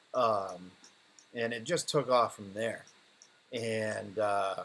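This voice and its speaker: Delivery is very slow. The intonation remains fairly even. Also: man, medium pitch for a man, big swings in loudness. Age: 40s. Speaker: livestream host, web developer. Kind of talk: casual livestream chat answering comments.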